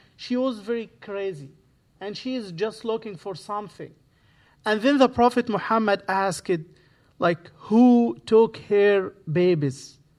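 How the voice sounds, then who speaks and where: With an Arabic accent, a man speaks at a very slow pace. His ordinary pitch variation comes through a very clean recording with a silent background. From Egypt. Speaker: imam. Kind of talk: guest sermon. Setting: church. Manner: halting.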